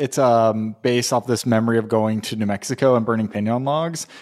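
Here is an ordinary speaking voice, a man with an American accent at a medium pitch. He speaks at a moderate pace on a very clean recording with a silent background. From Southern California. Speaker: candle company co-founder. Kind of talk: casual interview chat.

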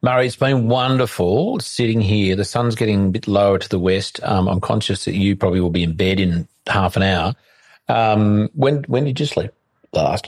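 With an Australian accent, a man talks at a moderate pace. His voice sits fairly low, with ordinary pitch variation. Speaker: podcast host. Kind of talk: interview. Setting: guest's home. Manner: halting.

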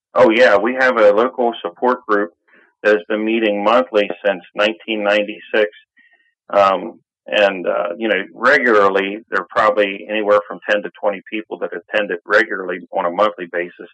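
With an American accent, a man speaks at a moderate pace in a fairly low pitch. His intonation stays fairly even. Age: 50s. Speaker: patient advocate. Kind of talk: interview. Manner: halting.

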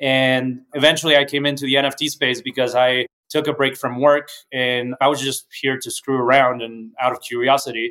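This man's voice sits at a medium pitch. He speaks in a flat, monotone way. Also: moderate pace. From Mexico City. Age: 30s. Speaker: tech startup founder and CEO. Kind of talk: interview.

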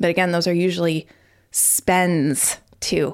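A woman speaks slowly-ish, at a fairly slow pace, in a fairly low voice. The recording is very clean with a silent background. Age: 40s. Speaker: podcast host. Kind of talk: solo monologue. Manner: casual, conversational.

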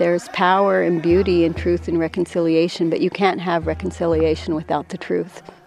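A woman with an American accent talks with hardly any pauses. Music plays in the background. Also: fairly quick pace. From Washington, Colville Reservation. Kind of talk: interview. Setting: outdoors.

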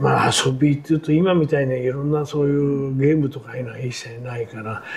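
Noticeable background noise accompanies this man's fairly high-pitched voice. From Tokyo, Arakawa ward (shitamachi). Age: 80s. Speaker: war survivor and construction scaffolder. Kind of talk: oral history interview. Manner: casual, conversational.

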